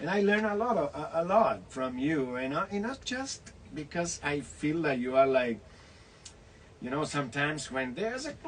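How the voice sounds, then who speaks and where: A man's fairly high voice in a Spanish accent, with very wide pitch swings, a moderate pace and noticeable background noise. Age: 60s. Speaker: actor and online show host. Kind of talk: casual interview.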